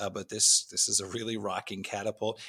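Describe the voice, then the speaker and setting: A man at medium pitch and moderate pace, in an ordinary speaking voice, on a very clean recording with a silent background. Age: 40s. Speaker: podcast guest, music fan. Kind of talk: casual chat.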